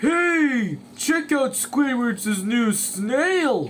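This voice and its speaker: A man's put-on character voice at an extremely high pitch, with clear background noise. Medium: read story. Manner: slow, simple.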